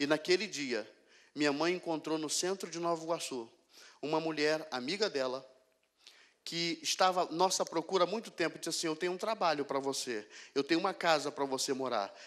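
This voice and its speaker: The voice moves at a fairly quick pace with ordinary pitch variation over a quiet background. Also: man. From Rio de Janeiro, Brazil. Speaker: pastor. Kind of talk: sermon testimony. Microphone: handheld.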